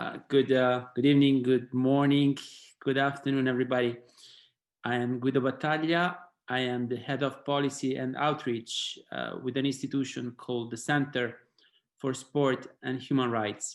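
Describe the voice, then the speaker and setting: Flat, monotone male delivery at medium pitch and moderate pace, on a very clean recording with a silent background. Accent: Italian. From Italy. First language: Italian. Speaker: sport and human rights policy head. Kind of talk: panel discussion.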